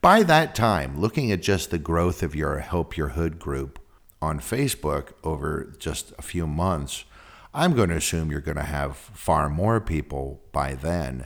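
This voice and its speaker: A man with an American accent, very deep and low in pitch, with vocal fry. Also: ordinary pitch variation, fairly slow pace. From San Francisco, California. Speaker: podcast host. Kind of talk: casual interview. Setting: video call.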